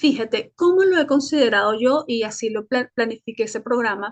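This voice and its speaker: This woman has a high-pitched voice with ordinary pitch variation. She speaks at a moderate pace. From Venezuela, Caracas. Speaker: Spanish teacher and journalist. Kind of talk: interview. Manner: hesitant, with fillers and self-repairs.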